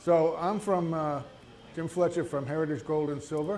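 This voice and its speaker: The speech moves at a fairly slow pace, and audible room echo surrounds it. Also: man. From New England, New Hampshire. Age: 70s. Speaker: small business owner, retired army veteran. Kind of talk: entrepreneur presentation. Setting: live event with audience. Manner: halting, many fillers; quiet. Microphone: handheld mic held too far away at first.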